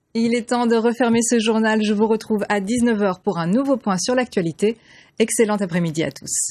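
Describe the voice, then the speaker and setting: A woman has a normal speaking voice, fairly high in pitch with ordinary pitch variation, at a moderate pace. The recording is very clean, with a silent background. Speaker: TV news presenter. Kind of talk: TV news broadcast anchor read. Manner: clear, professional, measured.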